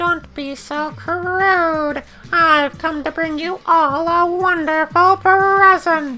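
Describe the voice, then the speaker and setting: An extremely high, squeaky put-on character voice at a very slow pace, with faint music in the background. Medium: video game. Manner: playful, taunting.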